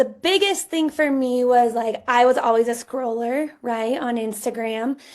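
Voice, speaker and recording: A woman speaks with a high pitch and ordinary pitch variation, in an American accent, over a quiet background. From Colorado, US. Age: 30s. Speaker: stay-at-home mom and online entrepreneur. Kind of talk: interview.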